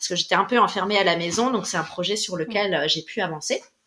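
An unremarkable speaking voice from a woman, medium in pitch with ordinary pitch variation, at a fairly quick pace. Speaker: musician and music teacher. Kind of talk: interview.

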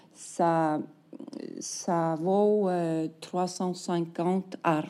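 Her voice has a dark, mellow tone, with a woman's medium pitch and fairly even intonation. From Iceland. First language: Icelandic (speaking French). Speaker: novelist. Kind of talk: interview. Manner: halting, many repetitions and fillers.

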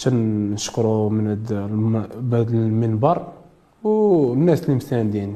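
A man's medium-pitched voice, dark and mellow, at a very slow pace with ordinary pitch variation and audible room echo. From Morocco, Casablanca. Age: 20s. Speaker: boxer. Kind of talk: interview.

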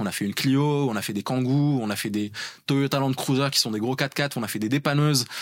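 Recorded with a dry, close sound and no echo, a man talks at a fairly quick pace and a medium pitch with ordinary pitch variation. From Morocco (Rabat). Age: 30s. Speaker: engineer and startup founder. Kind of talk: interview. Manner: hesitant with fillers.

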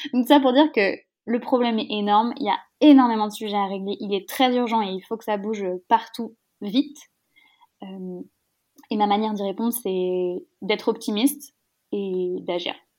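Energetic in tone, a woman with a fairly high voice speaks at a moderate pace with ordinary pitch variation and long, frequent pauses. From rural France. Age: 20s. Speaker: startup founder. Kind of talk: interview.

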